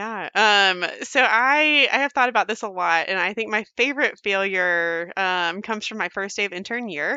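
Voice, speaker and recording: Speaking in a normal speaking voice, a woman keeps a moderate pace and medium pitch with ordinary pitch variation and hardly any pauses. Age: 30s. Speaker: physician. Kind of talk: interview.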